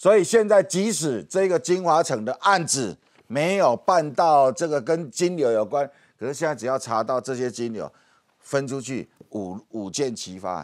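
Against a quiet background, a man with a fairly high pitch speaks at a fairly slow pace in an animated tone with very wide pitch swings. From Taiwan. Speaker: political commentator. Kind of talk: TV political talk show discussion. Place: studio. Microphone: lapel.

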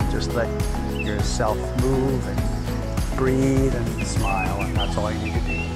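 A man's voice over loud music in the background. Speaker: tai chi instructor. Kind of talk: tutorial. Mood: calm, soothing. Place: garden.

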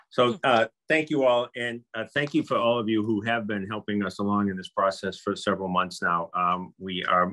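An ordinary speaking voice from a man, fairly low in pitch with ordinary pitch variation, at a fairly quick pace with hardly any pauses, against a quiet background. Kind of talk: meeting presentation. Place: office. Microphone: video call.

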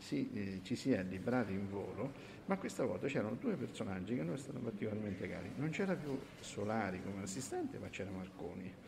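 There is audible room echo around this man's voice. He has a fairly low pitch, ordinary pitch variation and a moderate pace. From Umbria, Terni. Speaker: radio show host, vintage radio expert. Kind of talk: casual chat. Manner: halting.

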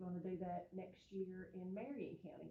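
Her speech, at a middle pitch for a woman, moves along at a medium speed. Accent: Eastern Kentucky. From Eastern Kentucky. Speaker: school superintendent. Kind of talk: speech at public meeting. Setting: school board meeting with audience. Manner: casual, folksy.

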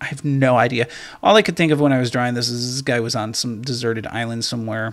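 On a very clean recording with a silent background, a man uses an ordinary speaking voice at medium pitch with ordinary pitch variation and a fairly quick pace. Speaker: art tutorial creator. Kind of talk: tutorial. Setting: screen recording. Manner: casual, filler-heavy.

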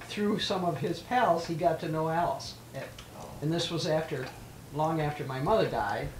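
Against noticeable background noise, a woman with a fairly low pitch and lively intonation speaks at a moderate pace, leaving long, frequent pauses. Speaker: elderly local resident interviewed for oral history. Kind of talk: oral history interview.

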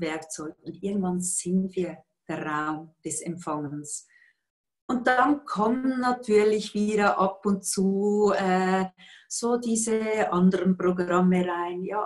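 A woman speaks very slowly with a Swiss accent. Her pitch varies in an ordinary way over a quiet background. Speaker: yoga teacher and workshop facilitator; yoga teacher, coach. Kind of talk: interview answer. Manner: cheerful, calm, competent. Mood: calm, warm, reflective. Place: home room. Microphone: video call.

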